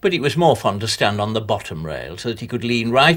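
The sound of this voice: The reading voice is unforced, with lively intonation throughout.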